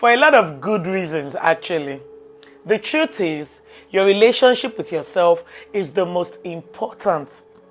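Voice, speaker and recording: A woman with a medium-pitched voice speaks at a fairly slow pace with lively intonation while music plays in the background. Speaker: motivational speaker. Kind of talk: motivational talk.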